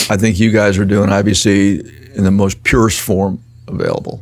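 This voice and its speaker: A man's fairly low voice with an American accent, a fairly quick pace and monotone, flat intonation. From US, grew up in military family. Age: 50s. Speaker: business executive in finance. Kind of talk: casual chat. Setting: studio.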